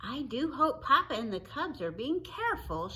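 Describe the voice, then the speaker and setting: In a put-on character voice, a woman speaks at a high pitch and a moderate pace over light background noise. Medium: read story. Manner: calm, measured.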